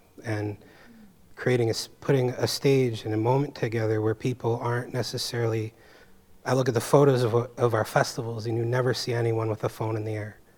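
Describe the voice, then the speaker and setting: A man talks at a fairly quick pace in a medium pitch. His voice is somewhat breathy, with monotone, flat intonation. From San Francisco Bay Area. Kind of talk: panel discussion.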